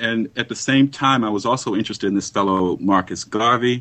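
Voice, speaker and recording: With an American accent, a man talks fairly quickly in a normal speaking voice with ordinary pitch variation. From US, New York and Los Angeles. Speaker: history professor. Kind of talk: interview. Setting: Skype call.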